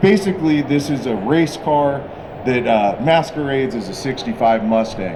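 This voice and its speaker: A man speaks loudly, his pitch swinging very widely. Background noise is noticeable, and there is audible room echo. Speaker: car builder presenting a custom car. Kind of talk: live presentation at a car show unveil. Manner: animated.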